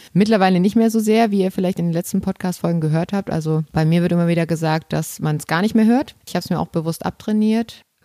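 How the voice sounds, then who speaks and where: A woman at a very fast pace with hardly any pauses, fairly low pitch, ordinary pitch variation and a dark, mellow tone, in a dry, close sound with no echo. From Saxony, eastern Germany. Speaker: podcast host. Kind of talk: casual chat.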